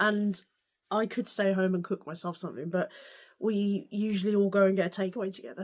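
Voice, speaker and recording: A woman with an English accent speaks at a medium pitch. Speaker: sewing vlogger. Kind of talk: casual vlog.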